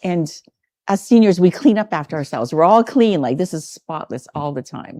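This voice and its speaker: A woman with a dark, mellow tone and a fairly low pitch speaks at a moderate pace. Her pitch swings very widely and her loudness rises and falls sharply. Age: 60s. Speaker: resident of a 55+ community, volleyball and badminton coach. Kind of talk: casual interview. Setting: on location at a community clubhouse.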